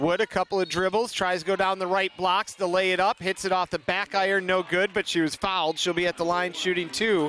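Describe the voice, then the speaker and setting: A man speaks in a high, raised and projected voice with an upbeat, enthusiastic tone. The sound is dry and close, with no echo. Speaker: basketball play-by-play announcer. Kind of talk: live sports commentary. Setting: gymnasium, live game broadcast.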